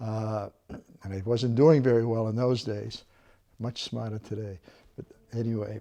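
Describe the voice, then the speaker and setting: A man's dark, mellow voice at medium pitch moves at a moderate pace with fairly even intonation. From Maine, Portland. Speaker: Vietnam War veteran. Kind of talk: interview testimony.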